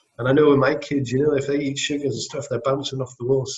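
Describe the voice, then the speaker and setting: A man's medium-pitched, somewhat breathy voice with a Scottish accent. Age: 40s. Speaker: business owner. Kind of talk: interview. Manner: fast; mumbling.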